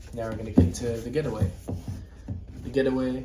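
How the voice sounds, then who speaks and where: Against noticeable background noise and audible room echo, a man is speaking. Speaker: book collector video creator. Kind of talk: show-and-tell collection walkthrough.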